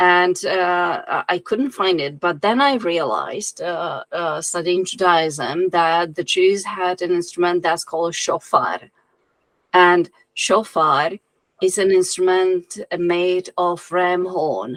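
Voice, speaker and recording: Speaking very slowly, a woman with a fairly low voice talks in a non-native accent. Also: ordinary pitch variation. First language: not English. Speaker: occult writer and musician. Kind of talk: interview. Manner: halting.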